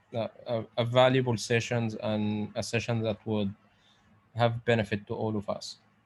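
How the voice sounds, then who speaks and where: A man talks with a non-native accent. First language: Arabic. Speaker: pharmacist lecturer. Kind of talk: online lecture. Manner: halting.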